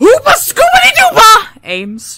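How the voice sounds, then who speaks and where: The voice is a put-on character act. It climbs to an extremely high pitch. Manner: goofy, nonsense-sounding.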